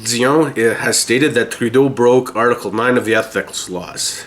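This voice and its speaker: Someone with a Canadian accent speaks at a fairly quick pace with fairly even intonation. Noticeable background noise is present. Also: man. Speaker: political podcast host. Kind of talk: news commentary podcast. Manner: lozenge clacking in mouth.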